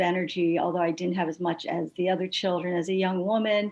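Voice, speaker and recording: A woman at a medium pitch, with a normal speaking voice. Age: 60s. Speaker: patient advocate, retired nurse. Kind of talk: panel discussion testimony.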